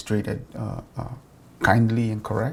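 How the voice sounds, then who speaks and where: Somewhat breathy, a man talks at medium pitch and a fairly quick pace. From Africa. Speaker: interviewee. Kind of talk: street interview.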